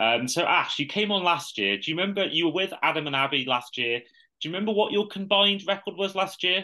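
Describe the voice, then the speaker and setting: Speaking very fast with hardly any pauses, a man uses lively intonation and a high pitch. He has a British accent. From UK. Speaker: podcast host. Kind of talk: casual chat.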